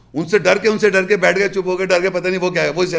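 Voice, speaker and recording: A man speaks with a high pitch and a bright, sharp tone. The recording is very clean and the background silent. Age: 50s. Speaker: religious lecturer. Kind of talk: lecture.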